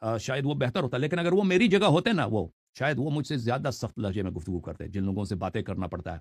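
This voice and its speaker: A man with a stern, somewhat breathy tone talks with hardly any pauses, his pitch swinging very widely. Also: medium pitch for a man. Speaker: Shia religious scholar and YouTuber. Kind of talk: interview answering questions on religion. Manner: harsh, stern tone; stammers on some words.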